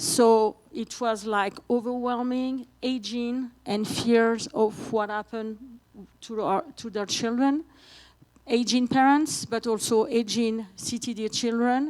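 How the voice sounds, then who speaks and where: A woman with a French accent, fairly high in pitch, at a very slow pace with fairly even intonation. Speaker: patient advocate and parent. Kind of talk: conference presentation. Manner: halting.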